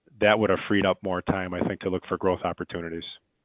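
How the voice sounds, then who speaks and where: Using fairly even intonation, a man with an American accent speaks at a fairly low pitch. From Chicago. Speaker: window company owner. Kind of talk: interview.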